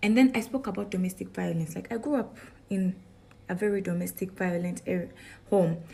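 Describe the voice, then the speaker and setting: A somewhat breathy woman's voice with a dark, mellow tone, a medium pitch, ordinary pitch variation, a fairly quick pace, and long, frequent pauses. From northern Uganda, Gulu. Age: 20s. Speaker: beauty queen. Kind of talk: testimony.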